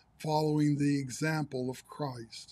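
The speaker is a man talking at a moderate pace. The background is quiet. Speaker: pastor. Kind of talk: sermon. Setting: livestream broadcast.

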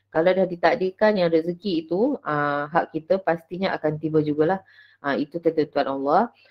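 Her pitch fairly low, a woman speaks at a moderate pace with ordinary pitch variation. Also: quiet background. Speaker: teacher giving book review. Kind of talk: book review presentation. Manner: hesitant, many fillers. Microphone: webcam.

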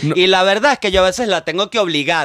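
A man speaks at a very fast pace with high pitch and lively intonation. The sound is dry with no echo. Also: quiet background. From Venezuela. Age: 40s. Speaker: comedian and scriptwriter; comedian. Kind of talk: casual chat. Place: studio. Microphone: studio mic.

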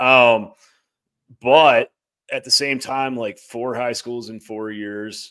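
A man is talking. The background is quiet. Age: 30s. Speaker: podcast co-host. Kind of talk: casual sports chat. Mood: calm, reassuring. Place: home room. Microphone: studio mic.

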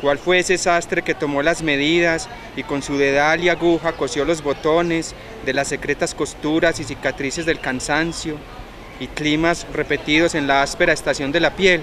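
A man speaks in a flat monotone at a moderate pace. The sound is dry with no echo, though background noise is noticeable. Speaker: poetry reader. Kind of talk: poetry reading. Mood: calm, reflective. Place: garden.

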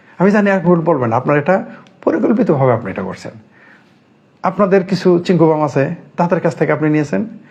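Noticeable background noise sits behind a man's voice. He has a high pitch and lively intonation. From Bangladesh. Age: 50s. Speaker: political commentator. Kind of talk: political commentary monologue. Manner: animated.

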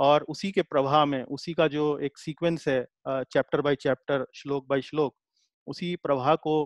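Speaking at a moderate pace, a man with a fairly high pitch keeps his intonation fairly even, the sound dry with no echo and the background quiet. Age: 40s. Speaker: Gita teacher. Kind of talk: lecture. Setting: video call. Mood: calm explanatory. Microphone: webcam.

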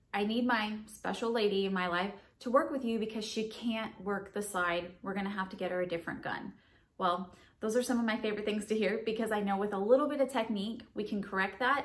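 Fairly high in pitch, a woman talks quickly in an American accent with fairly even intonation. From Southern United States. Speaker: firearms instructor. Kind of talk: instructional tutorial to camera. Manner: friendly, encouraging. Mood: friendly, upbeat. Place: home room.

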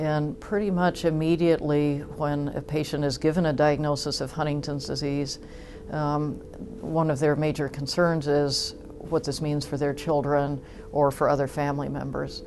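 Music plays in the background. A woman speaks in a very deep, low pitch with monotone, flat intonation. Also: moderate pace. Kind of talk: interview answer. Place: home room.

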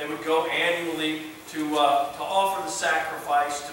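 Recorded with strong room echo and light background noise, a man speaks at a moderate pace in a high pitch with ordinary pitch variation. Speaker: pastor. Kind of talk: sermon. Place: church.

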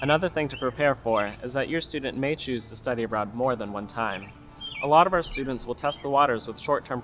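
Clear music plays in the background. The voice shows ordinary pitch variation. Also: man. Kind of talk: informational presentation. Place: open country.

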